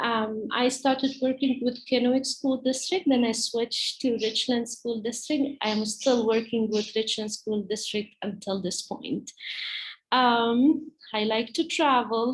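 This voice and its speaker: A woman with an Arabic accent speaks at a fairly slow pace. Her high-pitched voice keeps a fairly even intonation. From Palestine. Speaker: teacher. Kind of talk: presentation to parents. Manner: halting, many fillers.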